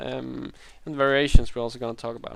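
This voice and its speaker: A man with a Danish accent, medium in pitch, against a quiet background. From Denmark. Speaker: Minecraft YouTuber. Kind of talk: gameplay tutorial. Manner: hesitant, many fillers.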